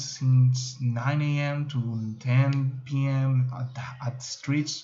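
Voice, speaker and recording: A man's medium-pitched voice with a Spanish accent, monotone and flat, amid audible room echo. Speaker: student. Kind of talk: class video presentation. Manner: halting.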